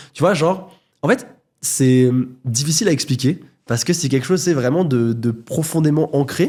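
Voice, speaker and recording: A man's somewhat breathy voice, dark and mellow in tone, fairly high in pitch, with ordinary pitch variation and very even loudness. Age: 20s. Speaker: YouTuber, content creator. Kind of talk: podcast interview. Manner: fast.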